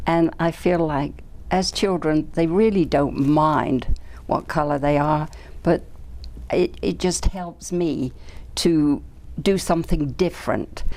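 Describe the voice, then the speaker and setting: Over music in the background, a woman with an English accent and a very deep, low pitch speaks at a very slow pace with ordinary pitch variation and long, frequent pauses. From England. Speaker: doll maker. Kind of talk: interview.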